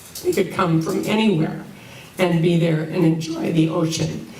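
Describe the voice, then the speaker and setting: A woman with an American accent talks in a fairly low pitch at a moderate pace, her intonation monotone and flat. Noticeable background noise and audible room echo fill the recording. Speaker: resident speaking at public comment. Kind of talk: public comment at town hall. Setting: town hall meeting. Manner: halting.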